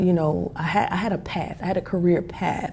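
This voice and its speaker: A woman's fairly even-toned speech amid noticeable background noise. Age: 40s. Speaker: vlogger. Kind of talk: casual talk to camera. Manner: conversational, humorous.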